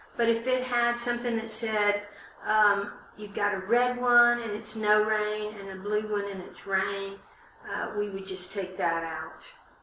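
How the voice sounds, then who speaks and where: A woman with a fairly high pitch speaks fairly slowly in a monotone, flat intonation, with audible room echo and noticeable background noise. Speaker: college instructor. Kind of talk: tutorial. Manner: loud.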